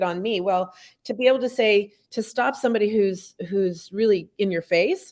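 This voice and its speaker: A woman speaks in a normal speaking voice, pitched fairly high, with ordinary pitch variation at a moderate pace. The recording is very clean, with a silent background. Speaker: author and speaker. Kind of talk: casual chat. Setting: studio.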